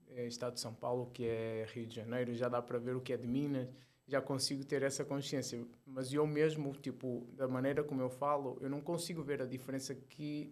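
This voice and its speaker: A man's medium-pitched voice in a monotone, flat delivery. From Portugal. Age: 40s. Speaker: ultramarathon runner and entrepreneur. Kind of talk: casual interview chat. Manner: fast.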